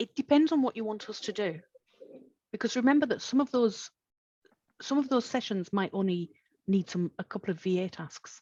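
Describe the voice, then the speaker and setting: In a dry, close recording with no echo, a woman with a fairly high, dark, mellow, somewhat breathy voice talks at a fairly quick pace with lively intonation, pausing often and at length. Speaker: virtual producer and trainer. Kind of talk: webinar Q&A, casual professional chat.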